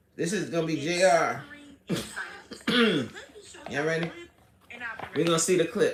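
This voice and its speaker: Over noticeable background noise and audible room echo, a woman speaks in an animated tone at a fairly low pitch with ordinary pitch variation and long, frequent pauses. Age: 40s. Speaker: livestream host. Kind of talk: casual livestream commentary.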